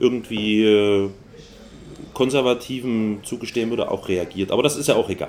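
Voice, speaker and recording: The pace is fairly slow. Pitch moves in an ordinary way. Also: man. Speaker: podcast co-host. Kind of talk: casual chat. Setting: home study.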